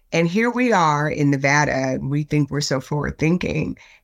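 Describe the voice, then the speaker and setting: A woman speaks at a fairly slow pace with lively intonation in an unremarkable speaking voice, on a very clean recording with a silent background. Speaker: state legislator. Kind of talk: interview clip.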